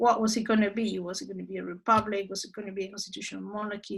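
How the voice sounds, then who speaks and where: A woman speaks with a Spanish accent at a medium pitch. Her tone is bright and sharp. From Argentina. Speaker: human rights expert. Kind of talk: lecture. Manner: halting.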